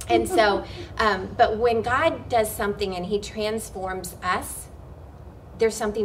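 With noticeable background noise and audible room echo, a woman speaks at a moderate pace. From Oklahoma. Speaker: worship pastor and ministry co-founder. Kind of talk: interview.

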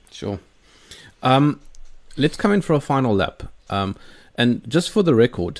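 A man's intonation is lively as he speaks at a moderate pace, the background quiet. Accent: South African. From South Africa. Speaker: podcast host. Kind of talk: interview. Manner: hesitant, many fillers.

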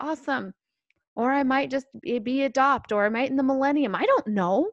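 A woman speaks at a high pitch and a fairly quick pace, with ordinary pitch variation. The sound is dry and close, with no echo. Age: 40s. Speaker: religious podcast co-host. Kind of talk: faith testimony conversation.

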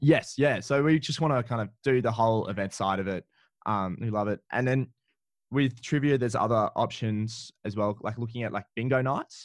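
A man with an Australian accent at a medium pitch and moderate pace, with ordinary pitch variation, in a very clean recording with a silent background. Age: 20s. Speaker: trivia business owner. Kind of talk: interview. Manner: animated.

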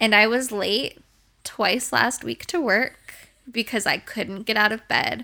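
In a very clean recording with a silent background, a woman talks at a fairly slow pace, her fairly high voice bright and sharp in tone, with vocal fry and ordinary pitch variation. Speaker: podcast host, dog groomer. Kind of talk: casual chat, podcast.

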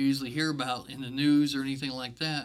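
With an American accent, a man speaks in a fairly high pitch with a bright, sharp tone and monotone, flat intonation. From Virginia. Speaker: church staff member. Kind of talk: testimony.

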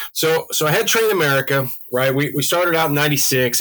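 A man's voice comes through with a bright, sharp tone. Its pitch moves in an ordinary way. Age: 40s. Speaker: model railroad layout builder and parts business manager. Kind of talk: casual interview.

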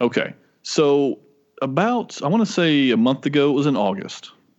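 Over a quiet background, a man speaks with vocal fry. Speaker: podcast co-host. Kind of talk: casual chat.

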